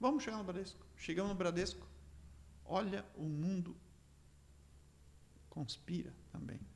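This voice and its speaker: A man's animated tone at a fairly slow pace, broken by long, frequent pauses. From Rio Grande do Sul, Brazil (Três Passos region). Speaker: entrepreneur. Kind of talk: interview storytelling. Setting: studio.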